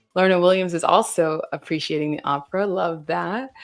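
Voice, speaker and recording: A woman speaks with an American accent. Music plays in the background. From US South. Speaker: livestream host. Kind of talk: casual chat. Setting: livestream. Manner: casual, filler-heavy.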